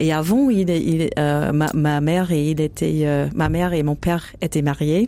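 A woman's very deep, low voice at a fairly slow pace, with very even loudness, ordinary pitch variation and noticeable background noise. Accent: American. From United States. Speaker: jazz singer. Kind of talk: interview. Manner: halting.

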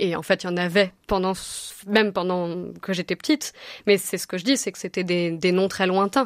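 Medium-pitched woman's voice at a moderate pace, in a dry, close sound with no echo. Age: 30s. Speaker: novelist. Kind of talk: radio interview. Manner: halting, many hesitations.

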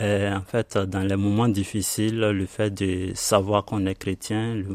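A man speaks very slowly at a fairly low pitch, in a monotone, flat delivery. The recording is very clean with a silent background and a dry, close sound with no echo. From Ivory Coast. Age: 30s. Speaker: refugee, IT trainee. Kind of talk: testimony.

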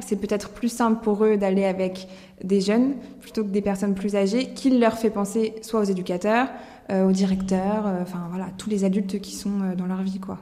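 Noticeable background noise sits behind a woman speaking at a medium pitch. Her pace is moderate and her intonation monotone and flat. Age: 20s. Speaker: law student and association volunteer. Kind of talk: recorded interview.

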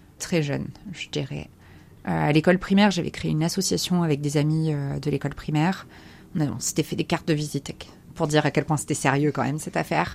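Speaking at a very fast pace, a woman uses vocal fry and a very deep, low pitch. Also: ordinary pitch variation. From US, Maryland (Chesapeake Bay) until 12, then France. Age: 30s. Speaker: ocean conservation communicator. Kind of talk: interview. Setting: aboard a sailboat. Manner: hesitant, many euh fillers.

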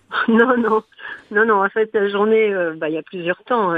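A woman talks at medium pitch with ordinary pitch variation. Hers is an unremarkable speaking voice. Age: 60s. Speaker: hospital chaplain. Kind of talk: radio interview. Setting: studio.

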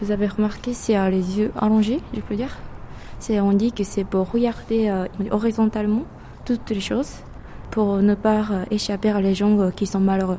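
In a Japanese accent, the speaker keeps a moderate pace and fairly even intonation, with long, frequent pauses. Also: woman. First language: Japanese (speaking French). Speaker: local guide. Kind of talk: casual interview. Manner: halting.

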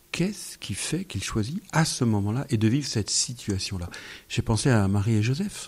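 A somewhat breathy man talks at a moderate pace and medium pitch with lively intonation. The recording is very clean, with a silent background. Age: 50s. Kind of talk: radio interview. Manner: halting.

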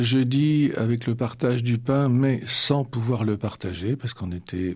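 A man's dark, mellow, medium-pitched voice at a very slow pace with ordinary pitch variation. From Normandy, France. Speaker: retired priest. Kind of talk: radio interview. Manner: halting.

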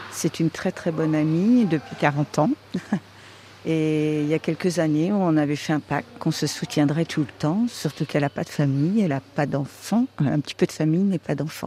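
In a dry, close sound with no echo, a woman speaks at a very deep, low pitch with ordinary pitch variation. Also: moderate pace. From Vendée, western France. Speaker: friend of a patient. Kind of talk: casual chat. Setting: patient's room.

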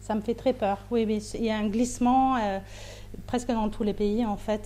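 A woman with a German accent talks at a moderate pace in a flat monotone, her tone dark and mellow. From Austria. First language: German (speaking French). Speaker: novelist and playwright. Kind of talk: interview. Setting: remote link from another city. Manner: halting, with frequent hesitations.

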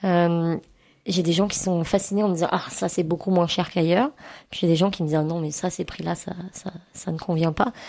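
A woman's dark, mellow tone, fairly low in pitch, at a moderate pace with fairly even intonation. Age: 30s. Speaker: cooperative supermarket volunteer. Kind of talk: radio interview. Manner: hesitant, many fillers.

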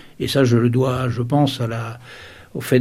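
A man talks at a medium pitch in a monotone, flat way. Audible room echo surrounds his voice. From Sarthe, western France. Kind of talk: interview testimony. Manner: hesitant, many repetitions.

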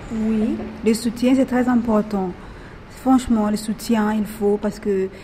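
Fairly slow, fairly high-pitched female speech amid noticeable background noise. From Madagascar. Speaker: prison inmate. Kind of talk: group discussion. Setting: prison. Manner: halting.

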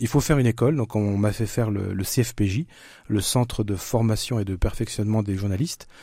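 On a very clean recording with a silent background, a man with medium pitch and a dark, mellow, somewhat breathy tone speaks at a fairly quick pace with ordinary pitch variation. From eastern France (Franche-Comté). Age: 50s. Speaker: author and screenwriter. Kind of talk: interview.

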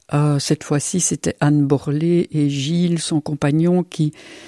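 In a very clean recording with a silent background and a dry, close sound with no echo, a woman speaks at a fairly slow pace. Her very deep, low voice has a dark, mellow tone and monotone, flat intonation. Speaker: physician and psychotherapist. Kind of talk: radio interview.

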